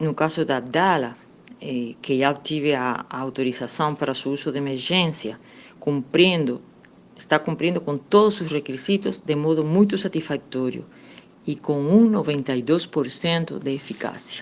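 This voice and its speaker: This speaker has a Cuban accent. The pace is moderate, with ordinary pitch variation. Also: woman, very deep, low pitch for a woman. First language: Spanish (speaking Portuguese). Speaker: political scientist. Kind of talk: radio interview.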